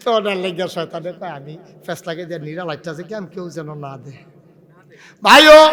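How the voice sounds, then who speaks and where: An animated man's high-pitched voice, bright and sharp in tone, with ordinary pitch variation and big swings in loudness. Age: 50s. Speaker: Islamic preacher. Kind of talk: sermon.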